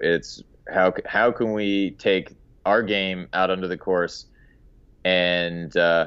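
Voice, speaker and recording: This man has a very deep, low pitch. His intonation stays fairly even. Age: young. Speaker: golf teaching pro. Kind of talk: podcast interview.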